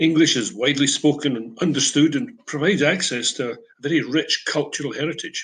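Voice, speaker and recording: Speaking at a fairly quick pace, a man with a fairly high pitch talks with an Edinburgh accent. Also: ordinary pitch variation. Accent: Scottish (Edinburgh). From Scotland, Edinburgh Old Town. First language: Broad Scots. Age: 70s. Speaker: English teacher. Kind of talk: prepared talk.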